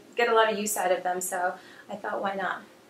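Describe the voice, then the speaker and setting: Very fast female speech against noticeable background noise. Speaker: fashion vlogger. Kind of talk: casual haul video monologue. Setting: home video recording under bright lights. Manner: hesitant with fillers.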